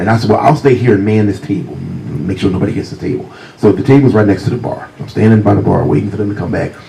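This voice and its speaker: Very fast, lively speech in a Virginia accent, with audible room echo and noticeable background noise. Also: man, fairly low pitch for a man. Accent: Virginia Southern US. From US South, Virginia. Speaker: crime novelist. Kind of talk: author talk with storytelling. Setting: stage with audience.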